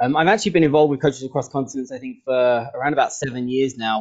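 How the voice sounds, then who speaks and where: Medium pitch from a man with an English accent. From England. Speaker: football coach. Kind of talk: online training session introduction. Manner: hesitant, many fillers.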